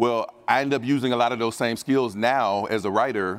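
A man speaks in a normal speaking voice, medium in pitch, with an American accent. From US Midwest (Dayton, Ohio). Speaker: sports betting writer and analyst. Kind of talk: conference panel discussion. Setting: stage with audience.

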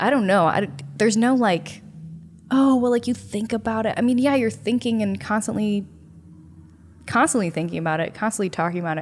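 Somewhat breathy and fairly quick, the speaker talks with an American accent and lively intonation. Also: woman, fairly high pitch for a woman. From US Midwest, Chicago north suburbs. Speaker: podcast co-host, small business owner. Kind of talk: casual chat.

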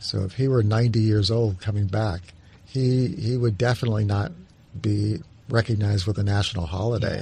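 At a moderate pace, a man speaks in a fairly low pitch, his voice dark, mellow and somewhat breathy, with fairly even intonation and very even loudness. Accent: American. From New Mexico, US. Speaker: history professor. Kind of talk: interview. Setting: studio. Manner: halting.

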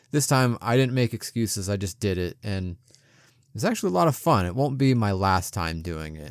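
A man with an unremarkable speaking voice, fairly low in pitch, fairly quick and lively in intonation, on a very clean recording with a silent background. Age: 30s. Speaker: podcast co-host. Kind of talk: casual chat.

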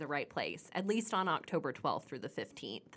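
A woman's ordinary speaking voice, fairly low in pitch, with an American accent, lively intonation and a fairly quick pace. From Oklahoma. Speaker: magazine editor. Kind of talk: scripted event segment.

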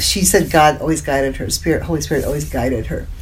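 Noticeable background noise runs behind this recording. A woman speaks with an American accent. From US Midwest, Indiana. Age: 70s. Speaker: spiritual teacher and psychic intuitive. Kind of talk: interview.

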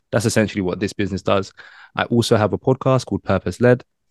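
The man speaks with a London accent, fairly low in pitch with ordinary pitch variation. His voice sounds dry and close with no echo against a quiet background. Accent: British, London. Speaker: branding business owner and podcaster. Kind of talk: casual interview conversation.

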